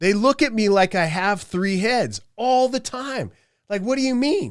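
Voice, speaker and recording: In a very clean recording with a silent background, a man talks at a moderate pace. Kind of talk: podcast monologue. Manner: halting, stuttering.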